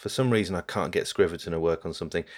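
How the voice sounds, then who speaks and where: This is a man's voice. The audio is very clean and the background silent. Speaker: podcast host. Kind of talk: casual chat.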